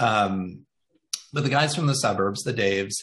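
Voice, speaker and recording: At a moderate pace, a man speaks in a normal speaking voice with a fairly low pitch. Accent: American. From Indiana, US Midwest. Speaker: marketing agency CEO and author. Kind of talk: interview.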